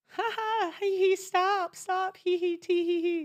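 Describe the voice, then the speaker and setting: In a put-on character voice, a squeaky, extremely high-pitched speaker talks at a fairly slow pace with monotone, flat intonation. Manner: giggly, playful, flirtatious.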